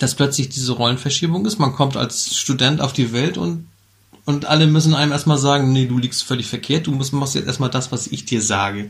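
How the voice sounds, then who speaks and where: A man's somewhat breathy, medium-pitched voice at a moderate pace, with ordinary rises and falls in pitch. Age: 50s. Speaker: podcast co-host. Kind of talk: casual chat.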